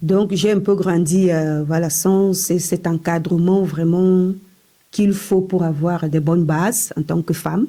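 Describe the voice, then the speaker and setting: A woman's fairly low, dark, mellow voice with fairly even intonation at a very slow pace. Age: 40s. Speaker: hospital worker sharing testimony. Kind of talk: testimony.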